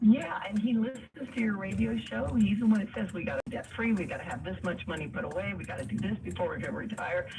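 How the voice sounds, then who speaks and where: A woman races along at a very fast pace with hardly any pauses, against noticeable background noise. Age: 60s. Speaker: caller. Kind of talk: call-in radio advice.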